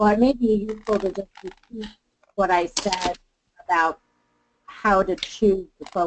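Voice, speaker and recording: Over noticeable background noise, a woman speaks at a moderate pace with ordinary pitch variation and long, frequent pauses. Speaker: webinar presenter. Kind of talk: webinar discussion. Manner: loud. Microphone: muffled, fading in and out; video call.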